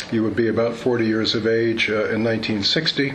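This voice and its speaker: Noticeable background noise behind a man with an American accent. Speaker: military historian presenting a paper. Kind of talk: conference lecture. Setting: conference room with audience. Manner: dry humorous.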